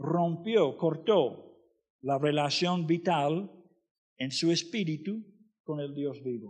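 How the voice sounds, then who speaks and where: A man's fairly high voice at a very slow pace, with lively intonation and audible room echo. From US, Florida. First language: English (speaking Spanish). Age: 60s. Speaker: missionary preacher. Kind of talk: sermon.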